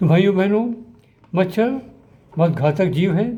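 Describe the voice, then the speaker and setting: A man speaks with ordinary pitch variation. His voice has a dark, mellow tone. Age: 80s+. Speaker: doctor and drug researcher. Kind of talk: health talk to camera. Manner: formal.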